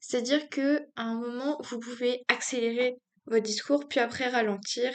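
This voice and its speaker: This is a woman speaking at a high pitch. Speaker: youtuber giving speaking tips. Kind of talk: casual tutorial. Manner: hesitant, many fillers; does not project.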